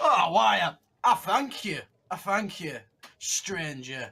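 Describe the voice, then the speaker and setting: In a gravelly, put-on character voice at a middle pitch, the speaker swings very widely in pitch at a fairly slow pace. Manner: grateful.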